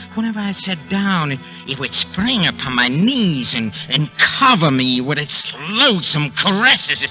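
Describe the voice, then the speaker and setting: A man's fairly high voice at a moderate pace with very wide pitch swings, music in the background. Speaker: old-time radio actor, star of the series. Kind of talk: radio drama first-person narration. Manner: agitated, halting, stammering, fearful.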